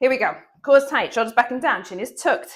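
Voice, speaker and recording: A woman speaks with an energetic tone. Her pitch is high. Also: very clean recording, silent background. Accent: British. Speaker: fitness instructor. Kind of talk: workout instruction.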